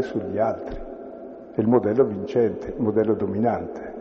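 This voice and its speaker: Audible room echo hangs on the voice. A man speaks fairly quickly. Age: 70s. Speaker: priest leading a bible study. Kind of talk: bible study lecture.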